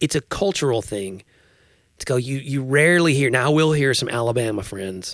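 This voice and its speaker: A man with a Tennessee accent talks at a fairly quick pace in a medium pitch with lively intonation, on a very clean recording with a silent background. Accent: Southern US (Tennessee). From Tennessee, US South. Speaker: podcast host. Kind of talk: casual chat.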